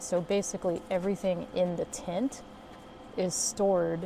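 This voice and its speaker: A quiet woman with a fairly low pitch, fairly slow pace and monotone, flat intonation. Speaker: solo camper vlogger. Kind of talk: casual vlog tour. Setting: outdoors at a campsite. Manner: quiet, hushed; hesitant, many fillers.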